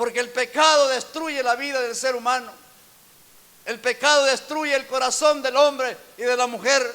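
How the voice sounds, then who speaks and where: A man's raised, projected voice at an extremely high pitch, monotone and flat, fairly slow, amid noticeable background noise. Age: 60s. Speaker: pastor. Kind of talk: sermon.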